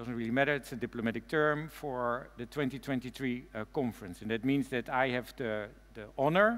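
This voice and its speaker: With ordinary rises and falls in pitch, the man keeps to a moderate pace. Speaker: keynote speaker. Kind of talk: keynote speech. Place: stage. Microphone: headset.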